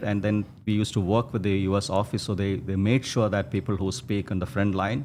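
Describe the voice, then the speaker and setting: Against a quiet background, a man talks at a fairly quick pace. His pitch is fairly low, and he speaks with a Keralan accent. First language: Malayalam. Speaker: textile entrepreneur. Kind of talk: interview storytelling. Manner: halting, many fillers and restarts.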